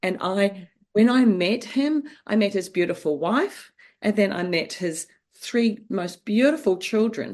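A woman's medium-pitched voice with a New Zealand accent. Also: fairly slow pace. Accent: New Zealand, noticeable. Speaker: author and mother. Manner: warm, storytelling.

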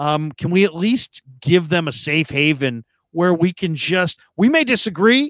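Recorded dry and close with no echo, the speaker talks at a fairly slow pace with an American accent. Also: man. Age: 50s. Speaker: sports podcast host. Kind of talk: casual sports talk show. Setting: video call livestream.

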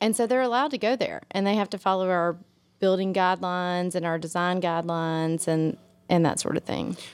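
A woman with a Mississippi accent speaks at a fairly low pitch with ordinary pitch variation and very even loudness, on a very clean recording with a silent background. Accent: US Southern (Mississippi). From Mississippi (Meridian, Jackson). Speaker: city alderwoman. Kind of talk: casual chat. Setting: hotel room.

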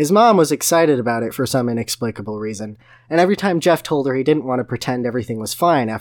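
Plain reading aloud. The intonation is lively.

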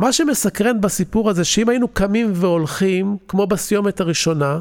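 A high-pitched man's voice, fairly slow, with ordinary pitch variation, on a very clean recording with a silent background. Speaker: podcast host, investment educator. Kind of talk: solo podcast monologue. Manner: scripted, storytelling delivery.

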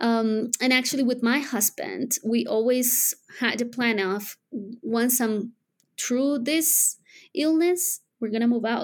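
In a Spanish accent, a woman speaks very slowly with a high pitch and very even loudness. The recording is very clean, with a silent background. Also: ordinary pitch variation. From Colombia. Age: 30s. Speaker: widow sharing her story. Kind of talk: interview.

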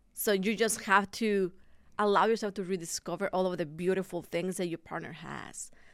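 In a very clean recording with a silent background, a woman with a Spanish accent speaks at a moderate pace, her pitch medium and her intonation fairly even. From Mexico. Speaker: pastor. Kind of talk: casual chat.

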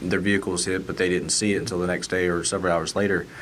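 With a north Georgia accent, a man talks very fast in a very deep, low pitch. His intonation is fairly even, and room echo is audible. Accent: Southern US (north Georgia). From north Georgia (Lumpkin County). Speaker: state trooper. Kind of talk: casual chat.

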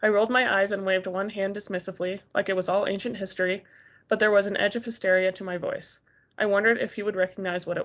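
With fairly even intonation, this is a natural reading voice.

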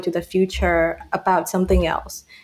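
The woman's speech keeps to a moderate pace. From Myanmar. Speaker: podcast host, engineering student. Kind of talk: casual chat.

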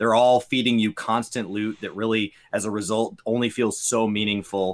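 Here is an unremarkable speaking voice from a man at medium pitch. He talks at a fairly quick pace in a very clean recording with a silent background. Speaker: podcast co-host. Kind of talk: casual conversational podcast.

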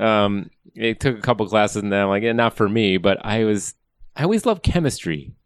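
Here a man with an American accent has an ordinary speaking voice, captured in a very clean recording with a silent background. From US Midwest (Wisconsin). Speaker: climate scientist, professor. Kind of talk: interview. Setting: office.

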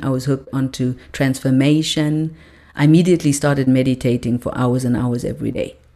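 Calm in tone, a woman speaks with a very deep, low pitch and a dark, mellow tone. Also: very clean recording, silent background. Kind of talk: personal testimony of a spiritual awakening, told as a reflective life story. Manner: calm, reflective, earnest, slow-paced storytelling with repetition for emphasis.

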